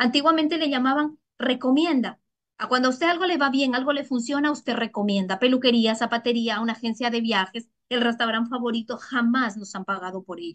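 Her voice high in pitch, a woman speaks with ordinary pitch variation. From Ecuador. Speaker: network marketing distributor. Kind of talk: sales pitch.

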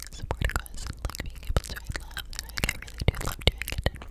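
A woman is whispering. Her voice is soft-spoken. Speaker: ASMR creator. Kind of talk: soft-spoken ASMR chat. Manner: close-mic soft whisper. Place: home room. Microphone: studio mic.

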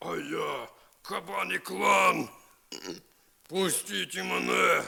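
A man's put-on character voice, bellowing and growling at a very slow pace. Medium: read story.

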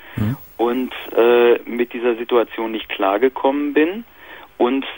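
A man talks at a very slow pace. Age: 30s. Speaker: caller.

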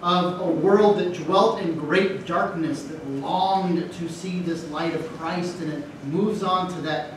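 Someone speaks at a fairly slow pace with fairly even intonation, amid audible room echo and noticeable background noise. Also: man, high pitch for a man. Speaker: priest preaching. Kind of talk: sermon. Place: church.

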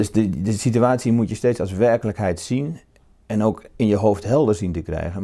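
A man speaks at a moderate pace with a dark, mellow tone. The background is quiet. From Netherlands, northern Brabant. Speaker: novelist. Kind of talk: interview. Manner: halting, repeats words. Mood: calm, reflective. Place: home room. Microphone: lapel.

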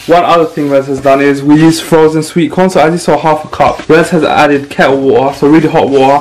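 A man speaks at a fairly quick pace with fairly even intonation and hardly any pauses. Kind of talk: casual cooking vlog chat. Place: kitchen. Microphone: camera far.

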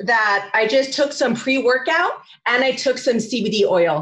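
A woman with a Californian accent speaks at a fairly slow pace. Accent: Californian American. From California, San Fernando Valley. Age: 40s. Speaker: social media coach. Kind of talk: talk. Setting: video call.

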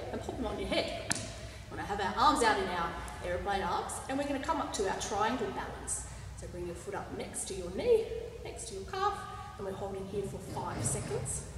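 A woman talks at a fairly quick pace with big pitch swings, with audible room echo and clear background noise. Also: medium pitch for a woman.

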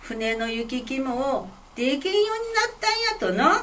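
The speech comes in a Fukui accent. Pitch variation is ordinary. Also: woman. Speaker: kamishibai storyteller. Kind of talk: picture-story storytelling. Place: hall.

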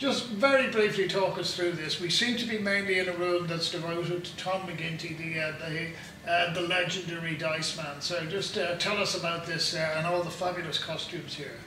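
The speech moves at a moderate pace with hardly any pauses, over light background noise and audible room echo. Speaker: podcast host interviewer. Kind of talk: on-location interview. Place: hall.

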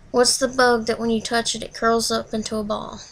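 With a Tennessee accent, a woman speaks at a moderate pace in a fairly high pitch with monotone, flat intonation. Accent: Southern US, Tennessee. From Southern US. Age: 20s. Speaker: vlogger. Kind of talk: accent tag word list and casual answers to camera. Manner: nervous, shy. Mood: nervous, shy. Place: home room. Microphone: webcam.

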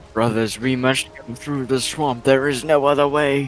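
A man's put-on character voice at a medium pitch and moderate pace, with clear music in the background. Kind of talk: casual gaming chat. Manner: theatrical, mock-heroic.

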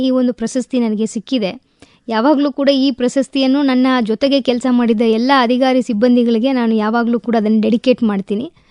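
Heard in a dry, close recording with no echo, a woman speaks in a Tamil accent. Her pitch is high. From Tamil Nadu, India (Madurai). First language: Tamil (speaking Kannada). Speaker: district administrator (civil servant). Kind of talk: radio interview.

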